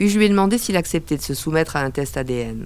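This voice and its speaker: A woman is speaking at a moderate pace. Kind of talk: noir first-person narration. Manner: terse, hard-boiled.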